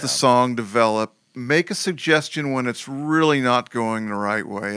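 Over a very clean recording with a silent background, a man with an ordinary speaking voice talks at a fairly slow pace with ordinary pitch variation. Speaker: music producer. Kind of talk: casual interview.

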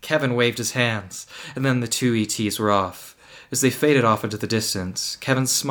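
An unforced reading voice is heard. Nothing about it sounds pushed.

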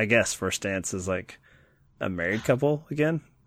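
A man with an American accent and a fairly low pitch speaks in an unremarkable speaking voice at a moderate pace with ordinary pitch variation, on a very clean recording with a silent background. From Kentucky, US South. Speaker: podcast host. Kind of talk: casual chat.

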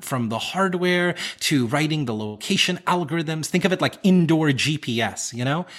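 A man with a plain, everyday voice and an American accent at a moderate pace, on a very clean recording with a silent background. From US South, South Carolina and North Carolina. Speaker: accessibility consultant, CEO. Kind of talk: interview.

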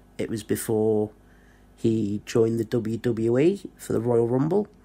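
A man with a Lancashire accent on a very clean recording with a silent background. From northwest England (Blackpool). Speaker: YouTuber, wrestling fan. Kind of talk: personal video monologue.

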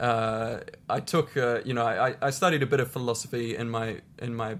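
Heard in a very clean recording with a silent background, a man speaks at a medium pitch with a New Zealand accent. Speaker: professional tennis player and charity founder. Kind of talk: interview.

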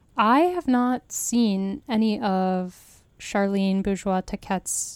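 A woman speaks in an ordinary speaking voice at a medium pitch, with ordinary pitch variation. The recording is very clean with a silent background, and the sound is dry and close with no echo. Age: 30s. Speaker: podcast host and film blogger. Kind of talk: casual film discussion.

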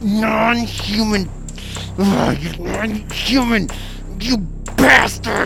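Over loud background music, a put-on character voice at a fairly high pitch drags along at a very slow pace. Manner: through gritted teeth, strained.

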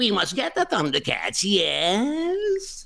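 A put-on character voice speaks at a very slow pace. Its pitch is fairly high. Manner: sneaky, scheming.

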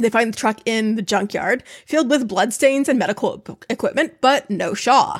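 A woman with a normal speaking voice talks at a moderate pace, her fairly high pitch showing ordinary variation, in a very clean recording with a silent background. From upstate New York. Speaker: podcast co-host. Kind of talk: reading aloud; casual chat.

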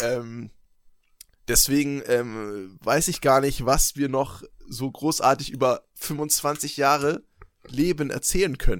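A man with a fairly high pitch at a very slow pace, with long, frequent pauses. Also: ordinary pitch variation. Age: 20s. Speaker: podcast co-host. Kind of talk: casual chat.

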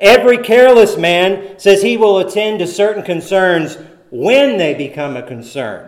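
In audible room echo, a man with a high-pitched voice speaks at a fairly slow pace, making very wide pitch swings. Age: 40s. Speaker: preacher. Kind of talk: sermon. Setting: church.

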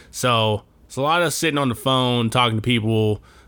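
A man speaks at a moderate pace in a medium pitch with an animated tone, on a very clean recording with a silent background. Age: 30s. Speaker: solo movie podcast host. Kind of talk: casual monologue.

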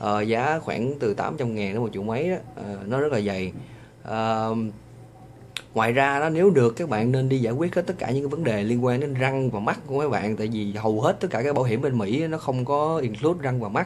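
A Vietnamese accent with ordinary pitch variation. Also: man, medium pitch for a man, fairly quick pace. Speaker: vlogger. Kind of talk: vlog monologue. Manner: hesitant, many fillers.

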